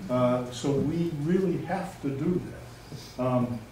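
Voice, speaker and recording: Ordinary pitch variation in a voice with audible room echo. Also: man. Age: 70s. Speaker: resident speaking at town meeting, former selectman. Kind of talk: public comment at community meeting. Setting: public meeting in a library. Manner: halting, with many fillers.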